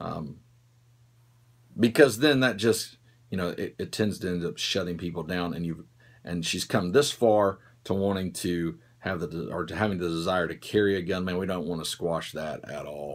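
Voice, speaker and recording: A man with a Southern US accent and a very deep, low pitch, ordinary pitch variation, on a very clean recording with a silent background. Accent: southern drawl. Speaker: firearms instructor. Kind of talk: Q&A show, casual talk to camera. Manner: casual, hesitant with many fillers.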